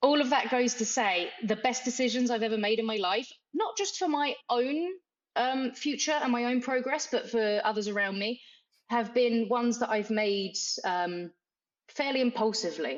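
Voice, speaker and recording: A woman's high-pitched voice, with ordinary pitch variation and very even loudness. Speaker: martial arts coach and gym owner. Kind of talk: casual interview chat. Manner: fast.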